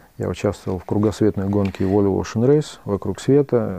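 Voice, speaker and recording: At a fairly slow pace, a man speaks with fairly low pitch, a dark, mellow tone and fairly even intonation. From Russian Caucasus. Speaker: retail entrepreneur. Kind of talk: interview.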